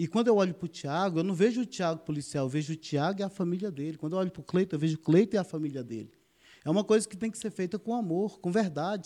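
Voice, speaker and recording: Speaking very fast, a man with a high pitch and a dark, mellow tone makes very wide pitch swings against a quiet background. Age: 50s. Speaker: military police officer and political candidate. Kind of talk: podcast interview.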